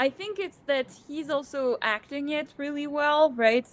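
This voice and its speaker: The pace here is moderate. A woman talks with a French accent. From France. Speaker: book channel co-host. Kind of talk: casual chat. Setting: livestream.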